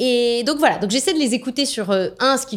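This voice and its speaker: The voice has an animated tone. The recording is very clean, with a silent background. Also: woman. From France. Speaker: business executive. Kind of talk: interview.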